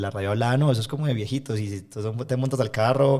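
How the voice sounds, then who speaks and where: Heard in a very clean recording with a silent background, a man of medium pitch speaks at a very fast pace in a dark, mellow tone with fairly even intonation. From Colombia, Medellín. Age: 20s. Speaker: environmental NGO leader. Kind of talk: interview conversation.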